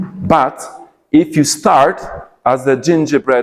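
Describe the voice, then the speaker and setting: A man is speaking. He goes at a very slow pace. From Poland. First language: Polish. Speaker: English teacher trainer. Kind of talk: conference talk. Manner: animated; repetitive with hesitations.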